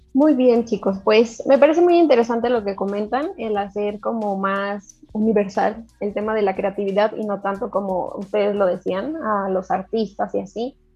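A woman speaks at a medium pitch in a dark, mellow tone. Her pace is moderate with hardly any pauses and ordinary pitch variation. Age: 20s. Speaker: podcast co-host. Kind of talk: casual chat.

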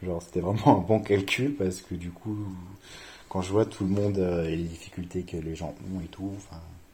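A man speaks at a very deep, low pitch in a dark, mellow tone, somewhat breathy. His intonation stays fairly even at a moderate pace, with big swings in loudness. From France, Reims. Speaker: student. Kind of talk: casual interview.

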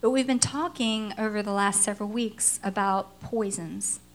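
At a moderate pace and medium pitch, a woman talks in a normal speaking voice. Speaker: pastor. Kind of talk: sermon.

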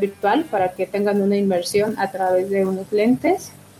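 With music in the background, a woman at medium pitch speaks at a fairly slow pace. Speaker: museum coordinator. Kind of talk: interview.

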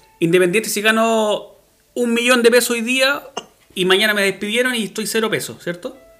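Over music in the background, a man with a high pitch talks at a fairly quick pace in a raised, projected voice. His intonation stays fairly even. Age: 40s. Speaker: podcast host. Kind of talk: casual chat.

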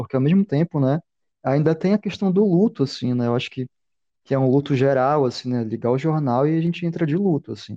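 A man with a dark, mellow tone and fairly high pitch talks at a very fast pace with ordinary pitch variation, the sound dry and close with no echo. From Belém, Brazil. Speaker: podcast co-host. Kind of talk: casual chat.

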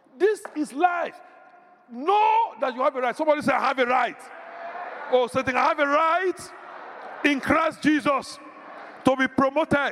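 Amid noticeable background noise, a man with an extremely high pitch speaks at a moderate pace in an animated tone, with ordinary pitch variation and long, frequent pauses. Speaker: pastor. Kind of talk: sermon. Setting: church.

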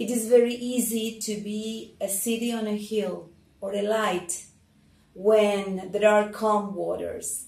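Fairly high in pitch yet dark and mellow in tone, a woman's somewhat breathy voice stays monotone and flat. Audible room echo surrounds her. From Argentina. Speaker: church leader giving testimony. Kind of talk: testimony.

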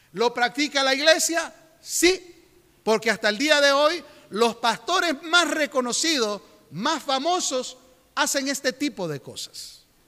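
Noticeable background noise sits behind a raised, projected voice. The pace is fairly slow, with ordinary pitch variation. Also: man, extremely high pitch for a man. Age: 50s. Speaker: pastor. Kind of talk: sermon. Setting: church.

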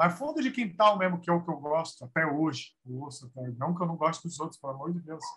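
A man with a normal speaking voice and fairly high pitch talks at a fairly quick pace, with ordinary pitch variation and big swings in loudness. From São Paulo metro area (ABC / east zone). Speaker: samba singer. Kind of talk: casual interview chat.

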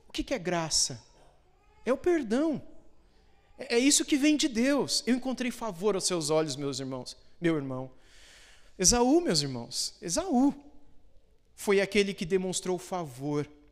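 A man's high voice with very wide pitch swings, a fairly slow pace and long, frequent pauses, on a very clean recording with a silent background. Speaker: pastor. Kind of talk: sermon, expository Bible teaching to a congregation. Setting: church. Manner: didactic, explanatory, steady; earnest, pastoral, with explanatory asides.

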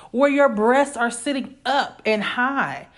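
With a high pitch, a woman sounds animated. She moves at a fairly slow pace. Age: 30s. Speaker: podcast host. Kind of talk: solo casual monologue.

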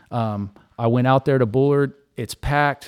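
A man with an American accent speaks in a normal speaking voice. His pitch is medium, with ordinary pitch variation. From California Central Valley. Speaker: former college basketball player. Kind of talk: casual chat.

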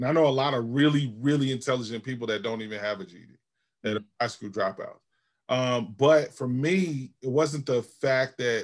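In an American accent, a man with a plain, everyday voice speaks at a moderate pace and medium pitch, with ordinary pitch variation and big swings in loudness. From Georgia and Albany, New York. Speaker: pastor / seminary graduate. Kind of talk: interview.

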